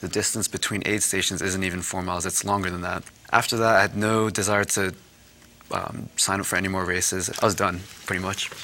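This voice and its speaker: Over noticeable background noise, a man with an American accent and very deep, low pitch talks at a fairly quick pace in a monotone, flat way. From New Jersey, US. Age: 30s. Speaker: marathon runner and charity fundraiser. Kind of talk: interview.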